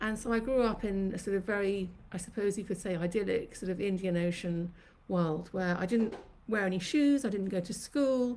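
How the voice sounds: A woman speaks at a medium pitch and a moderate pace, her tone slightly mellow. Her pitch varies in an ordinary way, and the room echo is audible.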